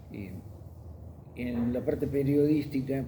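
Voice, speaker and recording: A somewhat breathy man's voice, dark and mellow, at a fairly slow pace with fairly even intonation and audible room echo. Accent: Rioplatense. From Argentina, Buenos Aires. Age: 70s. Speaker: journalist and magazine editor. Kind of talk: testimony interview.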